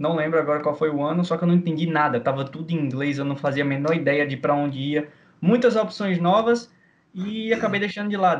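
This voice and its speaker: A man with an ordinary speaking voice, fairly high pitch, ordinary pitch variation and a fairly quick pace. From Brazil, Maceió, Alagoas. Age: 20s. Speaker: video game player. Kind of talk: casual interview chat.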